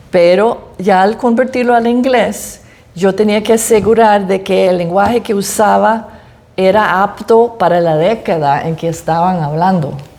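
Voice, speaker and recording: Speaking fairly slowly, a woman talks in an English accent. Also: medium pitch for a woman, ordinary pitch variation. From United States. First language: English (speaking Spanish). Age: old. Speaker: author. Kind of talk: interview at book presentation. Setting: library event with audience.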